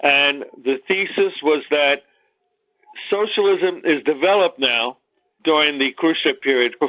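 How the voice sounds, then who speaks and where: Moderate pace and ordinary pitch variation from a man with a fairly high voice. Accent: Brooklyn. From New York, Brooklyn. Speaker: teacher. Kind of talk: lecture.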